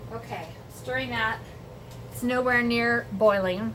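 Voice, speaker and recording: An animated voice with very wide pitch swings comes through over noticeable background noise. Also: woman. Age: 60s. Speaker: home cooking vlogger. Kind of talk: casual cooking tutorial. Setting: home kitchen.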